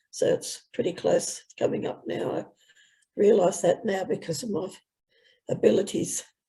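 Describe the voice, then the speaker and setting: A woman at a moderate pace, in an Australian accent. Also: long, frequent pauses. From New South Wales, Australia. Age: 70s. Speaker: person living with motor neurone disease. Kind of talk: casual chat.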